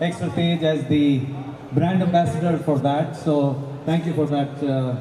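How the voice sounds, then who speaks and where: A man speaks at a moderate pace in a monotone, flat intonation. Audible room echo and light background noise are present. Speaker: guest. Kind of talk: event speech. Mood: grateful, warm. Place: stage. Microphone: handheld.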